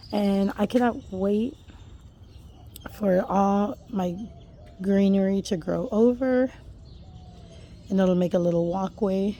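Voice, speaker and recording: A woman speaks very slowly and quietly at a medium pitch, with long, frequent pauses. Her tone is dark and mellow. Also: ordinary pitch variation. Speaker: home gardener vlogger. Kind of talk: casual garden tour vlog. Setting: outdoors in backyard garden. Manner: hesitant, many fillers; quiet, keeping voice down.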